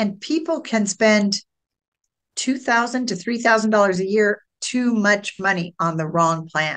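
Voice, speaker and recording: An unremarkable speaking voice from a woman at medium pitch, fairly slow, with lively intonation and a dry, close sound with no echo. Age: 60s. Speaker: Medicare insurance broker. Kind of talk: podcast interview.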